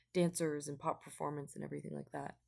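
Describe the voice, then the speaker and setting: A woman talks at a very fast pace, and quietly. The recording is very clean, with a silent background. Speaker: vlogger. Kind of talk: casual chat. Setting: at home late at night.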